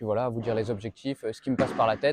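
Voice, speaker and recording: Over noticeable background noise, a man speaks at a very fast pace with medium pitch and fairly even intonation. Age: 20s. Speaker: professional padel player and vlogger. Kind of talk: casual channel introduction to camera. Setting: padel club. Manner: casual, hesitant with many fillers.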